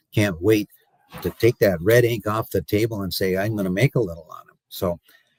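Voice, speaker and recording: A somewhat breathy voice moves at a fairly quick pace with big swings in loudness, the sound dry and close with no echo. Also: man, fairly low pitch for a man, ordinary pitch variation. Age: 60s. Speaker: cattle market analyst and commodity broker. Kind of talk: interview. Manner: halting, many fillers and repeated words.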